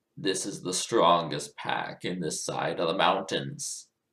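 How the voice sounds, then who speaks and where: A growling, put-on character voice delivers the lines at a fairly slow pace. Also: man, very deep, low pitch for a man. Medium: read story. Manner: roaring, growling.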